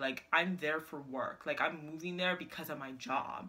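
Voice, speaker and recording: At a moderate pace, a woman with a very deep, low pitch speaks in an animated tone. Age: 20s. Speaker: lifestyle vlogger. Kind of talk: casual vlog. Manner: animated, filler-heavy.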